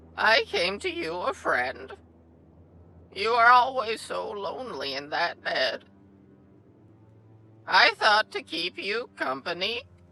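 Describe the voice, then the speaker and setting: In a put-on, guttural character voice, a high-pitched man speaks at a fairly slow pace with long, frequent pauses. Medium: read story. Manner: ominous, slow, repetitive.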